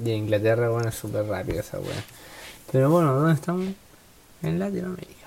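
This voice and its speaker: The speech runs at a very fast pace in a Chilean accent, yet with long, frequent pauses. Noticeable background noise is present. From Chile, Santiago. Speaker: football podcast host. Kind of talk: casual chat.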